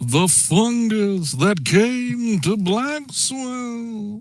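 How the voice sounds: A man's put-on character voice, high-pitched and dramatic in tone, very slow with lively intonation.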